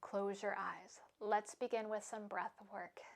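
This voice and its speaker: Soft-spoken and at a very slow pace, a woman talks with a fairly high pitch. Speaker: yoga instructor. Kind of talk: yoga class instruction; guided meditation.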